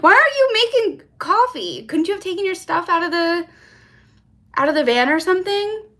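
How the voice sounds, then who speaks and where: With an American accent, a woman talks at a fairly quick pace in an extremely high, bright, sharp voice, raised and projected, with very wide pitch swings. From US East Coast. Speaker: YouTuber. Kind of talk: live stream chat. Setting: hotel room livestream. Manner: casual, chatty.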